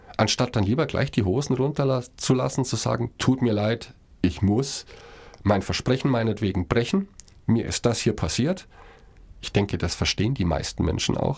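In a very clean recording with a silent background, a man with a medium-pitched, somewhat breathy voice talks at a moderate pace with lively intonation. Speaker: podcast co-host. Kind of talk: casual chat.

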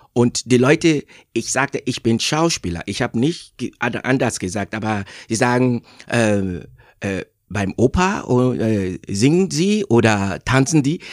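On a very clean recording with a silent background and a dry, close sound with no echo, a man with a medium pitch speaks at a very slow pace. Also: lively intonation. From Nigeria. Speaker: actor. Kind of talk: interview. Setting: studio. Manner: halting, many fillers.

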